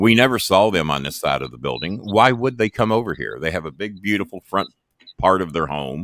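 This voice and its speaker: Vocal fry marks a man's very deep, low voice, animated in tone and fairly quick in pace. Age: 60s. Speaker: retired wrestling manager and podcast host. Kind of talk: casual chat.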